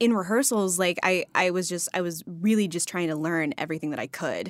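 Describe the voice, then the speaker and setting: In a very clean recording with a silent background, a woman with an American accent speaks at a medium pitch with ordinary pitch variation. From Texas, near Dallas. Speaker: actress. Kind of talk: casual interview chat. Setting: studio.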